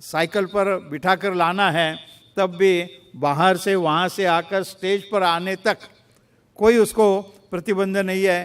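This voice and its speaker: A man with a Marathi accent talks at a high pitch. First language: Marathi (speaking Hindi). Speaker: chief guest dignitary. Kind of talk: formal address. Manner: formal; halting.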